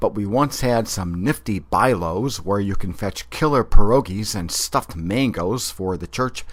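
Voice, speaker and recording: In a very clean recording with a silent background, a man with an ordinary speaking voice and fairly low pitch speaks at a fairly slow pace, his loudness swinging widely. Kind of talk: comic dialect glossary narration.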